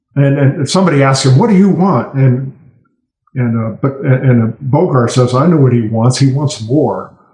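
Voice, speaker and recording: A somewhat breathy man's voice, fairly high in pitch, at a moderate pace with ordinary pitch variation. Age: 60s. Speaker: political cartoonist. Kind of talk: podcast interview.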